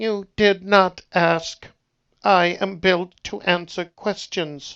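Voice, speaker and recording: A put-on, robotic character voice at a middle pitch. The delivery comes at a very slow pace. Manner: slightly wounded.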